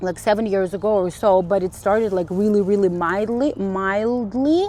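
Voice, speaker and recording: A woman speaks at a medium pitch with a non-native accent and ordinary pitch variation. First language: not English. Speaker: spiritual vlogger. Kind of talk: casual monologue vlog. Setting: outdoors on a walk. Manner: halting, many fillers and restarts.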